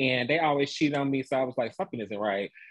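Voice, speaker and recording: Here a man speaks at a medium pitch. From US South, Atlanta, Georgia. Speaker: TV producer, former fashion stylist. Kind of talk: casual interview chat. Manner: elongated, calm; animated.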